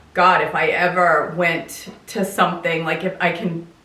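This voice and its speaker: Amid noticeable background noise and audible room echo, a woman with a fairly low pitch speaks at a fairly slow pace. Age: 60s. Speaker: lifestyle vlogger. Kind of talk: casual chat. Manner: conversational, informal.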